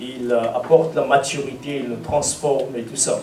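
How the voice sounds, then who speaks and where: Noticeable background noise and audible room echo surround the recording. A man speaks very slowly in a fairly high voice. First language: English (speaking French). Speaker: preacher. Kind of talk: sermon. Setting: church seminar with audience. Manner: halting, many hesitations.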